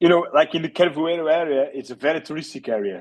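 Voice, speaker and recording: A man's voice with ordinary pitch variation. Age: 30s. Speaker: real estate agent. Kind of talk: interview. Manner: halting, many fillers.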